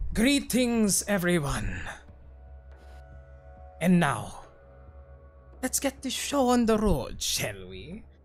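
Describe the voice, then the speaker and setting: Over faint music in the background, a put-on character voice at middle pitch speaks at a very slow pace with long, frequent pauses. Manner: grand, showman-like announcer.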